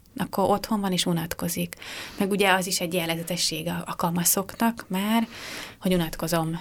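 Vocal fry marks this woman's medium-pitched voice. She talks at a fairly quick pace with fairly even intonation. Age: 30s. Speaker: youth office director, social pedagogue. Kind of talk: radio interview.

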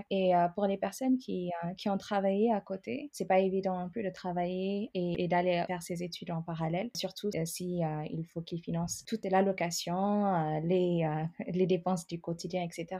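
A woman with a plain, everyday voice speaks at medium pitch and a moderate pace, with hardly any pauses. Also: fairly even intonation. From Ethiopia. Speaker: immigrant sharing her story. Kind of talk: interview.

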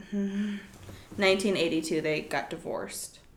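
A woman speaks in a fairly low pitch. The room echo is audible. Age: 20s. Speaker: podcast host. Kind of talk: casual chat.

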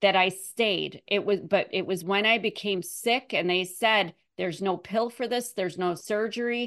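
Against a quiet background, a woman speaks at a moderate pace in a normal speaking voice. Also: medium pitch for a woman, fairly even intonation, hardly any pauses. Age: 40s. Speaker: author and abuse survivor. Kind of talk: interview, personal testimony.

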